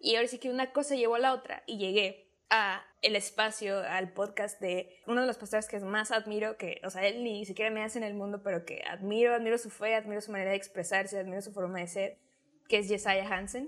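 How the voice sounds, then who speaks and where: A woman talks in a normal speaking voice at a fairly high pitch. Her pace is fairly quick and her intonation fairly even. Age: 20s. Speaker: podcaster. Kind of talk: casual chat.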